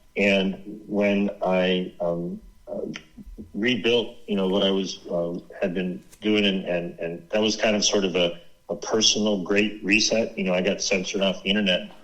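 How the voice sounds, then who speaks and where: Over noticeable background noise, the speaker holds a monotone, flat intonation at a moderate pace. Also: man, fairly low pitch for a man. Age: 60s. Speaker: author and activist researcher. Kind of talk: interview.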